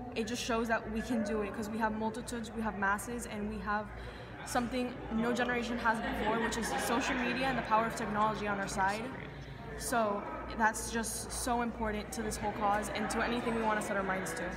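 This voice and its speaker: A woman talks at a very fast pace. Crowd noise fills the background. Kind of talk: interview answer. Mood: earnest, motivated. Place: hall. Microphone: phone near.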